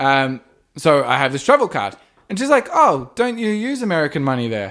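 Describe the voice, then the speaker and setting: On a very clean recording with a silent background, a man with fairly high pitch talks at a moderate pace, his voice making very wide pitch swings. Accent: Australian. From Australia. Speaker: podcast co-host. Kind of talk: casual chat.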